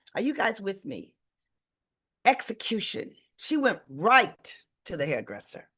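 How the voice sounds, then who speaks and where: A woman with an American accent speaks at a fairly high pitch, with very wide pitch swings, vocal fry and a bright, sharp, energetic tone. Her pace is fairly slow with long, frequent pauses against a quiet background. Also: big swings in loudness. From Detroit, Michigan. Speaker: sales leadership coach. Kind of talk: live webinar coaching talk. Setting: livestream video call. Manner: loud.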